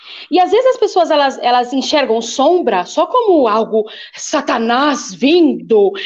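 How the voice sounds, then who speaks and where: A woman at a fairly slow pace with very wide pitch swings, against noticeable background noise. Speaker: bishop and preacher. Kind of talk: casual chat. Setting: live stream. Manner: loud.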